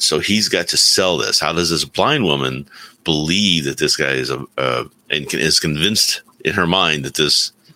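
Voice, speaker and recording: With vocal fry and a bright, sharp tone, a man speaks at a very deep, low pitch with ordinary pitch variation. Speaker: remote co-host. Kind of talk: casual chat. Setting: video call.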